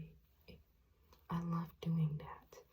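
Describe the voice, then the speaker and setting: Speaking very slowly, a soft-spoken woman has a fairly low, somewhat breathy voice. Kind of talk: ASMR roleplay makeup application addressed to the listener.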